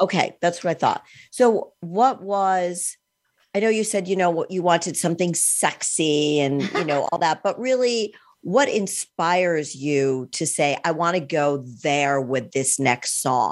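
With an unremarkable speaking voice, a woman talks at a fairly slow pace with lively intonation and fairly low pitch in a very clean recording with a silent background. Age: 60s. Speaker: podcast host. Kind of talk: casual interview chat.

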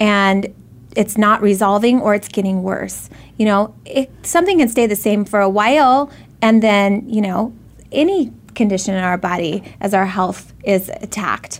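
Pitch shifts only as much as usual. It is a normal speaking voice. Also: woman, medium pitch for a woman, moderate pace. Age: 30s. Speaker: ovarian cancer survivor and foundation founder. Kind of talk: interview. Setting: live video stream.

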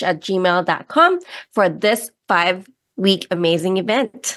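Lively intonation and an enthusiastic tone mark this woman's medium-pitched voice. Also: quiet background. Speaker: radio co-host. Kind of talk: radio talk show.

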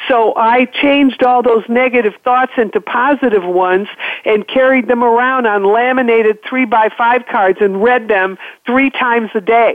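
Speaking in an unremarkable speaking voice, a woman keeps a moderate pace, fairly even intonation, very even loudness and a fairly high pitch. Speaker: financial firm owner. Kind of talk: casual interview chat.

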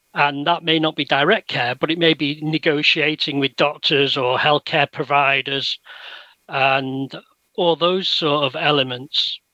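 A bright, sharp tone at a fairly slow pace, fairly even in intonation, dry and close with no echo. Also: man, fairly high pitch for a man. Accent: English. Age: 60s. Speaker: researcher. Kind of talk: interview.

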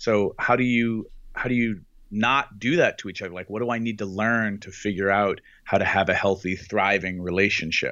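A man with an unremarkable speaking voice talks at a moderate pace with a fairly low pitch, fairly even intonation and big swings in loudness. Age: 50s. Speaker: sex educator. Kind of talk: interview.

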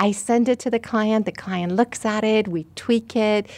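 Moderate pace and fairly even intonation in a Persian accent, on a very clean recording with a silent background. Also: woman. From Iran. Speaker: travel agent. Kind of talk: interview. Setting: studio.

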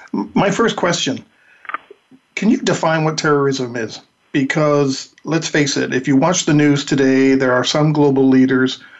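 A man with a normal speaking voice, fairly high pitch, and a moderate pace. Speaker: radio podcast host. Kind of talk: interview, host banter. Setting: remote interview by phone.

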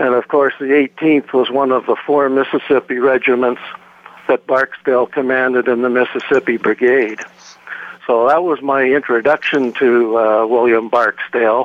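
Against noticeable background noise, a man with an Ontario accent speaks at a medium pitch and moderate pace, his intonation monotone and flat and his loudness very even. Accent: Canadian (Ontario). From Canada, Toronto. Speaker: author and historian. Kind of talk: interview.

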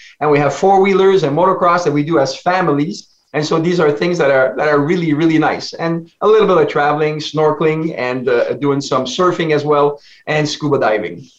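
A man speaks at a fairly quick pace with a French Canadian accent. His intonation is fairly even and his loudness very even. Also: fairly high pitch for a man. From French Canada. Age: 60s. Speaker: life coach. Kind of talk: interview.

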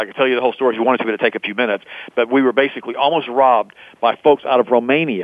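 A man at a medium pitch, very fast and fairly even in intonation, with a dry, close sound and no echo

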